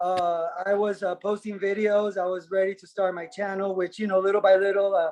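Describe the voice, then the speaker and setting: A man's high-pitched voice at a fairly quick pace, monotone and flat in intonation, with big swings in loudness and hardly any pauses. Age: 40s. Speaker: astrology enthusiast. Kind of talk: casual chat.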